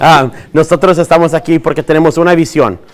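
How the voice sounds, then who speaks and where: Over noticeable background noise, a man speaks at a very fast pace. His pitch is fairly high. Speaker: school district administrator. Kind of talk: bilingual information presentation.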